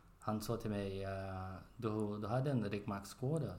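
In a Portuguese accent, a man speaks at a very slow pace with audible room echo. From Brazil. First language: Portuguese (speaking Swedish). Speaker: spinal cord injury survivor, podcast member. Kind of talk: casual chat. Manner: halting, with fillers.

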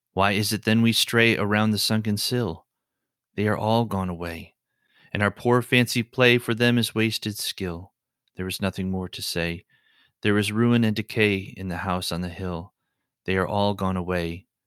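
A man's fairly low voice at a moderate pace, fairly even in intonation, in a dry, close sound with no echo, on a very clean recording with a silent background. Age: 30s. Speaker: poetry podcast host. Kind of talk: reading poetry aloud. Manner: halting with fillers in unscripted talk.

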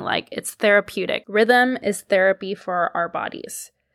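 In a very clean recording with a silent background and a dry, close sound with no echo, a woman with a Canadian accent uses an ordinary speaking voice, medium in pitch, with ordinary pitch variation at a moderate pace. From Canada, Toronto. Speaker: podcast host. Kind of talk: solo casual monologue.

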